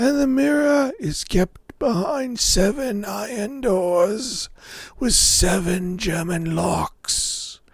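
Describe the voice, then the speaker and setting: A man's high-pitched, put-on character voice with lively intonation at a very slow pace. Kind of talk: fairy-tale storytelling. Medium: read story. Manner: formal, archaic, measured.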